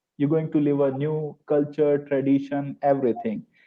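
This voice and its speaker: A man with an Indian accent, fairly high in pitch, speaking at a fairly slow pace. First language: Hindi. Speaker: French teacher. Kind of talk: webinar panel discussion. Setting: live online webinar.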